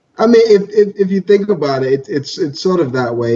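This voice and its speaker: A man with a New York accent sounds somewhat breathy. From Brooklyn, New York. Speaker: podcast co-host. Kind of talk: casual chat.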